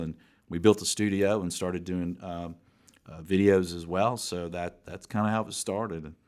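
On a very clean recording with a silent background, a man speaks at a very deep, low pitch and a moderate pace with monotone, flat intonation. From US South, Atlanta. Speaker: commercial real estate executive and podcast host. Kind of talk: interview.

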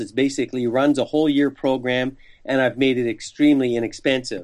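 A man talks at a fairly quick pace in a normal speaking voice. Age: 60s. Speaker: sales trainer and author. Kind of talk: interview.

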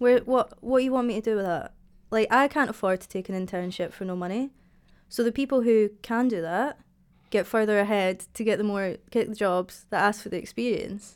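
A woman speaks at a fairly quick pace in a fairly high voice with a Dundee accent. Her pitch varies in an ordinary way while her loudness swings widely. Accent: Scottish (Dundee). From Scotland, Dundee. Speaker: graphic designer. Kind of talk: casual chat.

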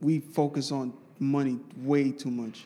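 A man talks in a New York accent. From Brooklyn, New York City. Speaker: podcast host. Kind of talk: casual chat. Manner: halting.

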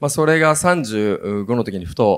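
A man's voice with vocal fry comes through on a very clean recording with a silent background. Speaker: company executive moderating a talk. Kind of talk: panel talk.

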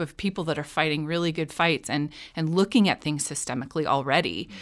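Someone with an American accent speaks at a fairly quick pace with ordinary pitch variation. The recording is very clean, with a silent background. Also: woman. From Chicago North Shore suburbs. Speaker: school social worker and teacher. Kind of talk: interview. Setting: studio.

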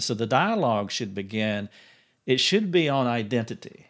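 He has an ordinary speaking voice, pitched at a medium level. His pace is moderate and his pitch variation ordinary. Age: 50s. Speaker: podcast host. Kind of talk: interview; scripted narration. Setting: office.

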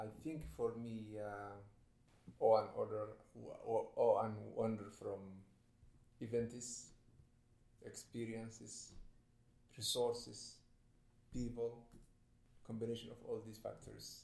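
With a Somali accent, a man speaks at a fairly slow pace, leaving long, frequent pauses. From Somalia. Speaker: writer. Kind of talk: panel discussion.

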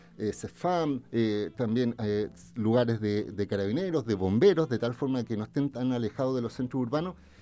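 A man's dark, mellow voice sits at a medium pitch, moving at a moderate pace with ordinary pitch variation. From Chile, Viña del Mar area. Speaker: lawyer and political candidate. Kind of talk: radio interview.

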